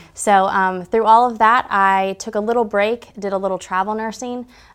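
A woman with a plain, everyday voice speaks at a moderate pace and a medium pitch. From Georgia, US South. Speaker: nurse educator. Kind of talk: interview.

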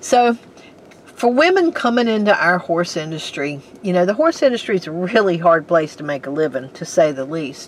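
A woman with a normal speaking voice, a fairly low pitch, lively intonation and a moderate pace. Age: 60s. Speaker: podcast host, horse owner. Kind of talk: casual interview.

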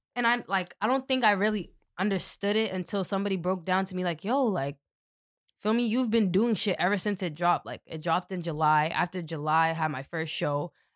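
A woman has a normal speaking voice at a medium pitch with ordinary pitch variation. She talks at a fairly quick pace in a very clean recording with a silent background. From Boston, Dorchester. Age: 20s. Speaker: rapper. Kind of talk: casual chat.

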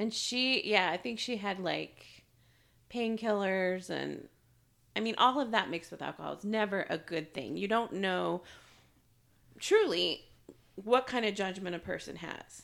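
A woman with vocal fry speaks fairly slowly at medium pitch with ordinary pitch variation and long, frequent pauses, on a very clean recording with a silent background. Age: 40s. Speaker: true crime podcast co-host. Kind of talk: casual chat.

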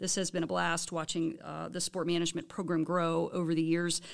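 A woman with an American accent talks at a very fast pace on a very clean recording with a silent background. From Baltimore area, US. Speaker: professor and department chair. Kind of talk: casual chat; scripted podcast intro.

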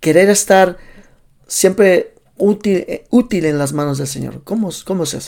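A man with a high pitch and a dark, mellow tone, at a fairly slow pace with ordinary pitch variation. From Los Angeles, US, Salvadoran parents. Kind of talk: casual interview. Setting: livestream.

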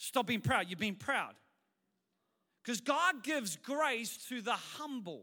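Raising and projecting his voice, a man speaks fairly slowly at an extremely high pitch, with a bright, sharp tone, lively intonation and long, frequent pauses. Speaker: pastor. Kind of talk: sermon. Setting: church.

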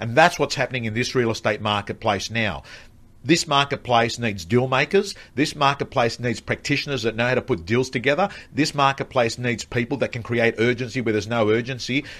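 A man talks at a fairly quick pace in a plain, everyday voice. His pitch is medium, with ordinary variation. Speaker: real estate coach and speaker. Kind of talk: casual rant-style chat, live streamed. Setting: studio, live streamed.

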